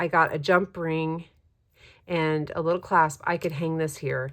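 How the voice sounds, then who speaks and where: A normal speaking voice moves at a moderate pace in a very clean recording with a silent background. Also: woman. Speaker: journaling YouTuber. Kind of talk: casual tutorial chat.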